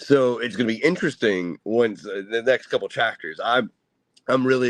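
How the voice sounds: Lively intonation in a natural reading voice, with a quiet background.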